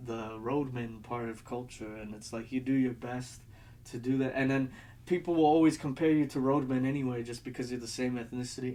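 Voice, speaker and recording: Using an unremarkable speaking voice, a man with an American accent talks at a fairly quick pace with a medium pitch and ordinary pitch variation. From United States. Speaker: video essayist. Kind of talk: casual video essay monologue. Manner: rambling, many fillers.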